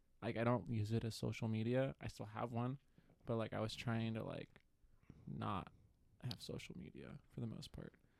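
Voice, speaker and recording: A soft-spoken man talks at a moderate pace. He leaves long, frequent pauses. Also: medium pitch for a man, ordinary pitch variation. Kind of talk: casual chat.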